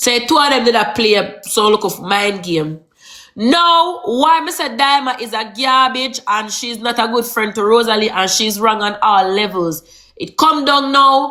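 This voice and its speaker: A woman speaks with a Jamaican accent at a moderate pace. Her pitch is fairly high and her intonation lively. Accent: Jamaican Patois. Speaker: social media gossip reporter. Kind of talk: casual live-stream gossip talk. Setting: TikTok live stream.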